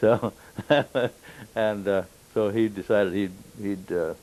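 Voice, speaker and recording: With a Midwestern US accent, a man speaks in a very deep, low pitch and a dark, mellow tone. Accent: US Midwest. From Kansas (Wichita). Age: 70s. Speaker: war veteran. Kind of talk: oral history interview. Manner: halting, many fillers.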